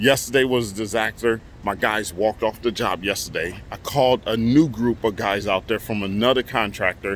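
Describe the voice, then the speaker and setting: A man with a plain, everyday voice talks at a fairly low pitch, keeping his intonation fairly even and barely pausing. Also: moderate pace. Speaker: construction contractor and vlogger. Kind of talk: casual vlog update.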